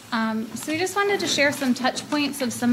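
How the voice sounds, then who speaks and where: A woman speaks at a moderate pace. Noticeable background noise and audible room echo are present. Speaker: children's services presenter. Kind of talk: presentation at board meeting. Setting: public board meeting. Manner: loud.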